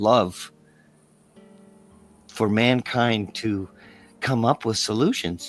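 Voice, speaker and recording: With a Canadian accent, a man talks at a medium pitch with ordinary pitch variation in a dry, close sound with no echo. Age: 60s. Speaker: podcast host. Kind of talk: interview show outro, political commentary. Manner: halting, repetitive.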